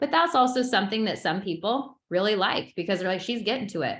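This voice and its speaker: Room echo can be heard around the voice. The woman's pitch moves in a normal way. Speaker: social media branding coach. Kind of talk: webinar lecture. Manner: fast; animated.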